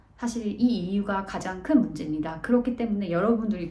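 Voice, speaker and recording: Audible echo from the room around a woman's medium-pitched speech. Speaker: vlogger, office worker abroad. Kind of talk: casual vlog talk. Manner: hesitant, many fillers.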